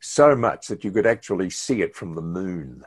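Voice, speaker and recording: Over a quiet background, a man speaks with a very deep, low pitch and lively intonation. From New Zealand, Hastings. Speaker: retired radio announcer. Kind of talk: interview. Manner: hesitant fillers; talkative.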